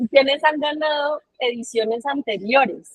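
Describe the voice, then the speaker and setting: This is a woman's voice. It rises and falls in an ordinary way. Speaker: writing workshop facilitator. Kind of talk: online workshop.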